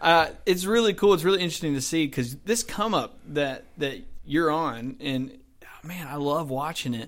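A man speaks at a fairly high pitch. His pace is moderate and his intonation lively. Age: 20s. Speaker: podcast host, pastor. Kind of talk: casual interview.

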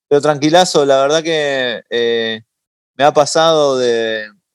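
In a dry, close sound with no echo, a man speaks at a very slow pace and a medium pitch. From Uruguay (Montevideo), moved to New York as a teen. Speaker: singer-songwriter and musician. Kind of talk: interview conversation.

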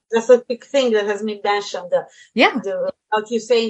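A woman speaks in an Italian accent at a fairly high pitch. The background is quiet. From Italy, Tuscany. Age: 30s. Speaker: wedding planner and translator. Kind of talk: panel discussion.

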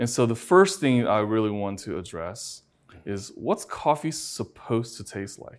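At a fairly slow pace, the voice carries a Chinese accent with very wide pitch swings and big swings in loudness on a very clean recording with a silent background. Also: man, medium pitch for a man. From China. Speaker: functional medicine doctor, interviewer. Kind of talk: interview. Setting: conference venue.

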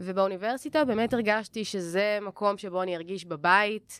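In a very clean recording with a silent background, a woman uses a normal speaking voice at medium pitch and a moderate pace. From Jerusalem, Israel. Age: 20s. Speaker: acting student. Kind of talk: podcast interview.

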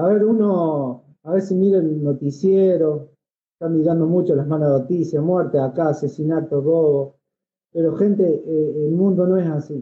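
This man has a plain, everyday voice, pitched fairly high for a man, talking at a fairly slow pace with fairly even intonation and very even loudness. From Argentina, Córdoba province (Villa María). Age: 30s. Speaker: motorcycle traveler. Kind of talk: casual interview. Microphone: too quiet.

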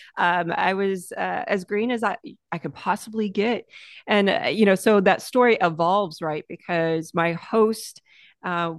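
Against a quiet background, a woman with a plain, everyday voice talks at a moderate pace and medium pitch with ordinary pitch variation. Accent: American. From United States. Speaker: entrepreneur and lifestyle creator. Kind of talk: interview conversation.

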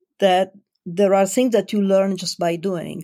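Recorded very cleanly against a silent background, a woman with an Italian accent speaks at a medium pitch in a dark, mellow tone. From Italy. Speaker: life coach. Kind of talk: interview.

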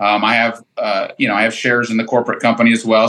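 A man talks at a fairly quick pace with a bright, sharp tone. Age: 40s. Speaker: lawn care business owner. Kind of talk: casual chat.

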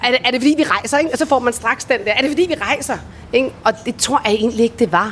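The delivery is very fast, with lively intonation. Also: woman. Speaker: voice-over artist and former radio host. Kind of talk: interview. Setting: recorded on location in Bali.

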